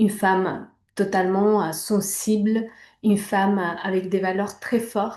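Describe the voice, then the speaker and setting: A woman with a Spanish accent, medium-pitched and flat in intonation, at a fairly slow pace against a quiet background. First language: Spanish (speaking French). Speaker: image coach. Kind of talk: personal testimony. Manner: hesitant, many fillers.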